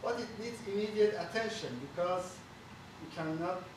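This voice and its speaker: A man with a high voice talks at a moderate pace with ordinary pitch variation, in a room with audible echo and noticeable background noise. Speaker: bridge engineer. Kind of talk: technical seminar presentation. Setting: auditorium with audience. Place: meeting room. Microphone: camera far.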